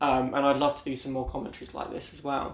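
A man is speaking. He has a British accent. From Britain. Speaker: podcast host. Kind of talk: solo episode commentary.

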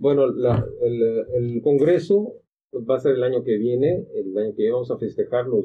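A man speaks at a fairly slow pace in a normal speaking voice, his pitch medium. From Mexico, Acapulco (Guerrero). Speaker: gynecologist. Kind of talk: casual panel discussion.

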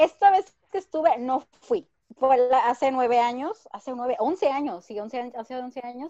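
The intonation is lively and the tone dark and mellow. The sound is dry and close, with no echo. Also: woman, high pitch for a woman, moderate pace, big swings in loudness. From Ensenada, Baja California, Mexico. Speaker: traveler. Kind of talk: casual chat. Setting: video call.

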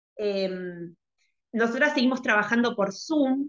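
With an ordinary speaking voice, this woman talks at a moderate pace, fairly high in pitch, her pitch varying in an ordinary way. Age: 30s. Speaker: skating coach. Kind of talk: interview conversation. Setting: video call.

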